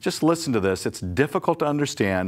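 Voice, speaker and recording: The pitch swings very widely. The speaker is a man. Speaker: pastor. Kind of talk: Bible study teaching. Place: studio. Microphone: lapel.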